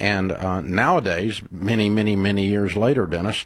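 A man talks at a fairly low pitch with a slightly husky edge. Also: ordinary pitch variation, moderate pace.

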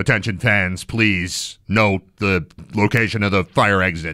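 At a fairly slow pace, a man uses a put-on character voice with fairly low pitch and fairly even intonation. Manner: commanding announcement.

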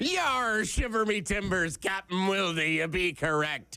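A man puts on a character voice, pitched high. He speaks at a fairly slow pace. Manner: playful, theatrical.

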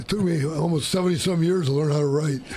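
Audible room echo surrounds a dark, mellow tone at a fast pace. The pitch varies an ordinary amount. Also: man, fairly high pitch for a man.

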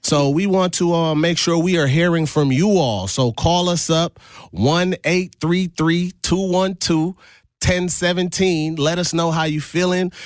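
A man with an American accent, fairly high-pitched, speaking at a fairly slow pace with ordinary pitch variation. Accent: American with a slight Caribbean lilt.

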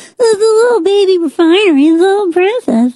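A female-sounding voice puts on a squeaky character voice at an extremely high pitch. It moves at a fairly quick pace. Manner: mocking, sing-song.

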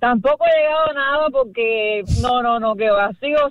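The speaker talks at a moderate pace with a Cuban accent. Pitch moves in an ordinary way. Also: woman, fairly high pitch for a woman.

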